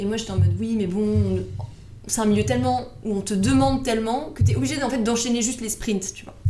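Audible room echo surrounds a woman's voice. Noticeable background noise is also heard. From Paris, France. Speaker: financial advisor. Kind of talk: interview.

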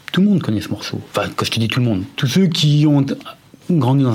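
A man talks over noticeable background noise. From Lyon, France (Vieux-Lyon). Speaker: former rap group member. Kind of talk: casual interview.

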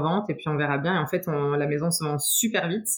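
Over noticeable background noise, a woman talks very fast in a very deep, low voice. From France, Troyes. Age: 30s. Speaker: footballer's wife, nurse. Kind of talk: interview testimony.

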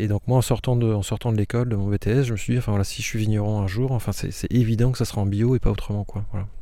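Fairly low in pitch with a dark, mellow tone, a man speaks in a flat monotone at a very fast pace with hardly any pauses. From northern France, Aisne. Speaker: winegrower. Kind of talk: interview. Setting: outdoors in vineyard. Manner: halting.

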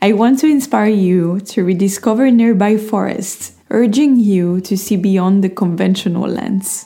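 Over noticeable background noise, a woman with a non-native accent talks at a fairly slow pace with hardly any pauses, very even loudness and ordinary pitch variation. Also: medium pitch for a woman. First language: not English. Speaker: podcast host. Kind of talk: scripted reading of own written essay, with casual intro.

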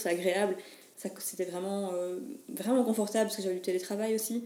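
Noticeable background noise runs under the voice. The delivery is fairly quick, with fairly even intonation. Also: woman. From Belgium, Mons. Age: 20s. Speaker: photographer and wedding entrepreneur. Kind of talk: interview. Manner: halting.

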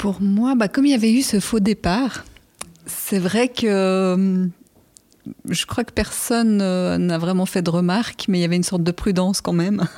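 Rather unhurried, the speech carries a dark, mellow tone. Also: woman, medium pitch for a woman, ordinary pitch variation. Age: 40s. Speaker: geomatics specialist. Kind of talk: casual chat. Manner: halting.

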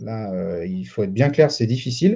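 A man's somewhat breathy voice with a dark, mellow tone, very wide pitch swings and a moderate pace. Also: quiet background. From France, Lyon. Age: 30s. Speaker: real estate dealer and trainer. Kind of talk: interview.

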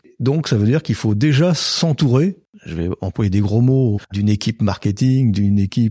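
With lively intonation and a dark, mellow tone, the voice moves at a moderate pace in a dry, close sound with no echo. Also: man. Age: 50s. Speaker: western village owner, former IT director. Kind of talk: casual interview.

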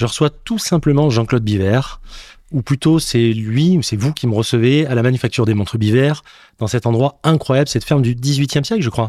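A man speaks at a moderate pace in a medium pitch, with a dark, mellow tone, ordinary pitch variation and very even loudness. The recording is very clean, with a silent background. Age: 40s. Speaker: podcast host. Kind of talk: interview. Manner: animated.

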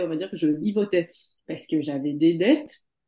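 A woman's dark, mellow voice with very wide pitch swings. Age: 30s. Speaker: former consultant turned beauty and wellness practitioner. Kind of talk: testimony.

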